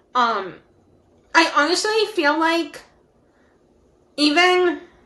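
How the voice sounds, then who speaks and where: A woman speaks very slowly in a raised, projected voice with a bright, sharp tone. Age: young. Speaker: podcast co-host. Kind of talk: casual chat.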